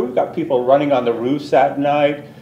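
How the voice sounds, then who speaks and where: In a Canadian accent, a man with a fairly high pitch speaks over audible room echo. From southern Ontario, Canada. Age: 60s. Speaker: resident delegate at council meeting. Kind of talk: public address to council.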